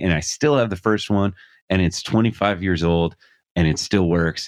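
In a very clean recording with a silent background and a dry, close sound with no echo, a man with a plain, everyday voice speaks at a fairly low pitch and a moderate pace. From Scranton, Pennsylvania. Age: 40s. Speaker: music YouTube personality. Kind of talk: casual chat.

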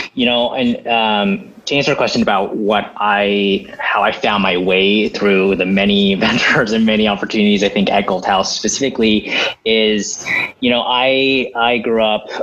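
A man speaks with an American accent at a moderate pace and fairly low pitch. His intonation is fairly even over noticeable background noise. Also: very even loudness. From Los Angeles suburbs, Diamond Bar. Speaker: entrepreneur and startup accelerator leader. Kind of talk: casual interview. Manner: halting with many fillers.

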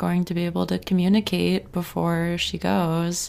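A woman with an American accent speaks in a plain, everyday voice at a fairly low pitch and a fairly slow pace. Her intonation is lively, and the recording is very clean with a silent background. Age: 20s. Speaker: TV recap podcast host. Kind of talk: casual solo recap.

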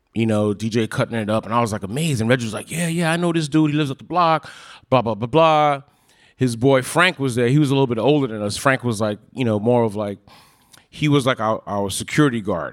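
A man's very fast, medium-pitched speech in a New York accent, with ordinary pitch variation, in a very clean recording with a silent background. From Park Slope, Brooklyn. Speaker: cousin of the late host. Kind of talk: storytelling on stage. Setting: stage with audience.

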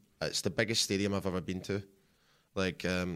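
Very clean and silent in the background, this recording holds a man's very deep, low voice in a Scottish accent. His intonation stays fairly even. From Scotland. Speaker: visiting fan. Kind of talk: casual chat. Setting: studio.

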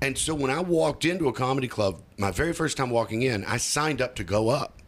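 A man talks at a moderate pace with a medium pitch and lively intonation. It is a plain, everyday voice. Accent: American. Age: 40s. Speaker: stand-up comedian. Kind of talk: casual interview.

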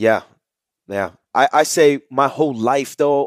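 On a very clean recording with a silent background, a man speaks in a New York accent. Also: dry, close sound with no echo. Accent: New York area urban. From New Jersey, Jersey City. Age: 20s. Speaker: holistic health coach. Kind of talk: interview, telling life story.

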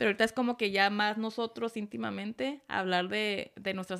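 A woman speaks at a medium pitch in a normal speaking voice. Her pitch varies in an ordinary way, and her pace is fairly quick. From Tijuana, Mexico. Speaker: podcast guest, host's partner, off-road enthusiast. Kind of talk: casual chat. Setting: home studio setup, video recording.

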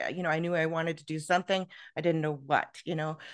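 A woman speaks with a Canadian accent in a fairly low pitch. The background is quiet. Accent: Canadian, heard as Minnesota-like. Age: 50s. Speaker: author and podcast guest. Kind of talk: interview, personal life story.

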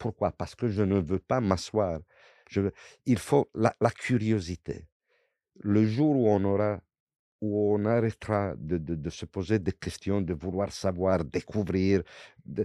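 With an Italian accent, a man speaks very slowly with long, frequent pauses, his fairly low, dark, mellow voice showing ordinary pitch variation in a dry, close sound with no echo and a quiet background. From Italy. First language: Italian (speaking French). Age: 60s. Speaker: former legionnaire. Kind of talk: interview testimony. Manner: halting with repetitions.

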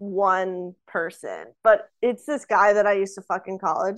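A woman with an American accent, an ordinary speaking voice, quiet background. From US South. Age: 20s. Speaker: podcast guest. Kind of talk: casual chat.

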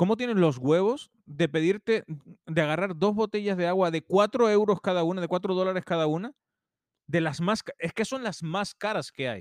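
The sound is dry and close, with no echo and a quiet background. A man with a high pitch speaks at a moderate pace with ordinary pitch variation. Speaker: podcast co-host. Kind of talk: casual chat, storytelling.

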